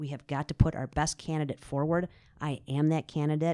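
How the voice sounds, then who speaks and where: A very clean recording with a silent background, carrying an American accent. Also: woman. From Wisconsin, south central. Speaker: judge and court candidate. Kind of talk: interview.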